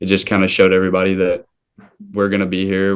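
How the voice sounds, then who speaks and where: A man with a very deep, low pitch and a slight Southern US accent. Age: young. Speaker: college baseball player. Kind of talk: interview.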